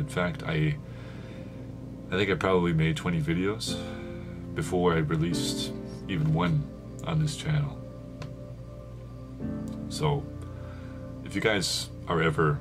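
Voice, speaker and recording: Soft-spoken and very deep, a man talks at a fairly slow pace with lively intonation and long, frequent pauses while music plays in the background. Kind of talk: casual talk to camera. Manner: soft-spoken, reflective.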